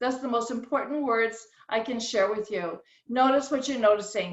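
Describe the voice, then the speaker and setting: At a moderate pace, a woman with a plain, everyday voice speaks in an American accent, her fairly high pitch showing ordinary variation. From rural New England, later Southern California. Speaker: caterer and speaker. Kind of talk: personal talk at virtual meeting.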